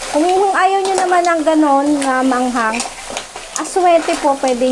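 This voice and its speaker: Noticeable background noise is present throughout. The talking unfolds fairly slowly. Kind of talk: cooking tutorial. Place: kitchen. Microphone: phone near.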